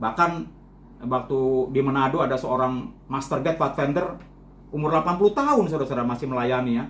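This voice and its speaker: The man speaks very fast with lively intonation. Room echo is audible. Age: 60s. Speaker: lay preacher and journalist. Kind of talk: sermon. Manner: repetitive filler 'ya' and 'saudara-saudara'.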